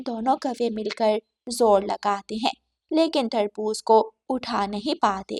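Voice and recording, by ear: The delivery is slow, with ordinary pitch variation and a slightly mellow tone. The sound is dry and close, free of echo. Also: woman, fairly high pitch for a woman.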